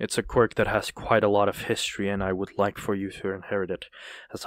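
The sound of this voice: An unforced reading voice carries the recording.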